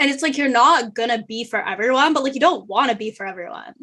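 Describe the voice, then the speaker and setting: Bright and sharp, a woman's high voice comes at a fairly quick pace. Her intonation is lively. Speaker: law student and podcast host. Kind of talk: casual chat. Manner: loud.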